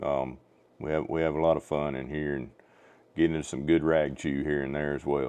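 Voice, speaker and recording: A man with a Southern US accent talks at moderate speed. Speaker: ham radio livestreamer. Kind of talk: ham radio net chat. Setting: radio transmission, livestream.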